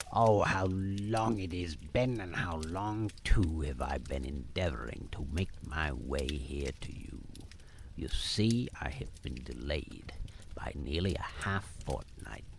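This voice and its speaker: Putting on a character voice, a man booms at a very deep, low pitch and a fairly slow pace against clear background noise. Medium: read story.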